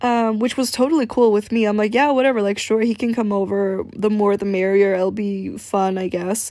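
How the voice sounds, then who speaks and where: A dark, mellow tone runs at a moderate pace with hardly any pauses. Intonation stays fairly even. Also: woman, medium pitch for a woman. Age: young. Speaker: podcast host. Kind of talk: casual storytelling monologue. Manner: laughing often.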